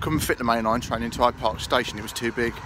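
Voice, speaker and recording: A man speaks at a fairly quick pace in a dry sound with no echo, with noticeable background noise behind him. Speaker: travel vlogger. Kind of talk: casual vlog chat. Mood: jokey, cheerful. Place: street. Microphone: phone near.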